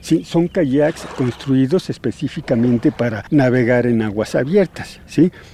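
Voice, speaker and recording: Noticeable background noise sits behind a man speaking at a fairly slow pace with hardly any pauses. His pitch is medium, and his intonation is lively. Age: 60s. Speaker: kayak tour guide. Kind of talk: guided tour explanation. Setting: outdoors.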